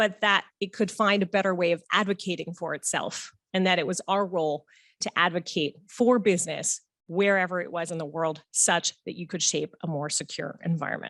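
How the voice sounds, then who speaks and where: This woman has an unremarkable speaking voice, fairly low in pitch, with an American accent, fairly even intonation and a moderate pace, recorded dry and close with no echo against a quiet background. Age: 40s. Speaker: conference organizer giving welcome speech. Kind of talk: welcome speech. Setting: conference hall with audience. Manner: formal.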